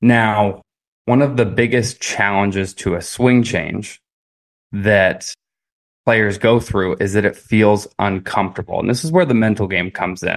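A man speaks at a fairly slow pace with a fairly low pitch and ordinary pitch variation. It is an ordinary speaking voice against a quiet background. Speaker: golf coach. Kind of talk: casual chat.

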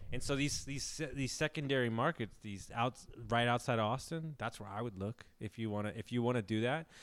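In a very clean recording with a silent background, a man speaks at medium pitch. His pace is fairly quick, with ordinary pitch variation. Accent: American. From Houston, Texas. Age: 30s. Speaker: real estate investor and coach. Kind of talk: casual chat. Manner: animated.

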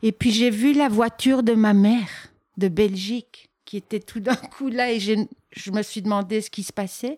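A woman speaks at a fairly slow pace in a fairly high pitch, her intonation fairly even but her loudness swinging widely. The sound is dry and close with no echo, and the recording is very clean over a silent background. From Belgium. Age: 50s. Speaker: artist. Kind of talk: interview. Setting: artist's studio.

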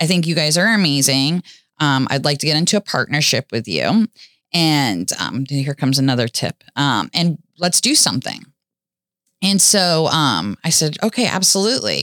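On a very clean recording with a silent background, a woman with a very deep, low pitch and vocal fry shows very wide pitch swings while keeping her loudness very even. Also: moderate pace, dry, close sound with no echo. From US South, Florida (Boynton Beach). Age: 40s. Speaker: jeep festival founder and community volunteer. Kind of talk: interview testimony.

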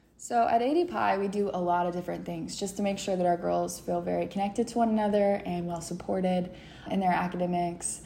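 A woman with an American accent talks at a very fast pace, with audible room echo. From southeastern Kentucky (London). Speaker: student sorority officer. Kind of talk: podcast interview.

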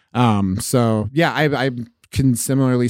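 A man with an American accent and a plain, everyday voice, medium in pitch, with fairly even intonation. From southeastern Oregon. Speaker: radio podcast host and comedian. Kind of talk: casual chat.

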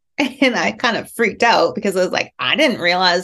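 A woman speaks in a normal speaking voice with a Canadian accent. Her medium pitch carries lively intonation at a moderate pace. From rural Alberta, Canada. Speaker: writer and creative writing professor. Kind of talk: interview conversation.

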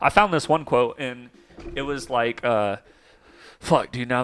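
On a very clean recording with a silent background, a man with an American accent speaks at a moderate pace and medium pitch, his intonation fairly even. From Oklahoma. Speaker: podcast host. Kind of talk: casual chat. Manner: casual, talkative.

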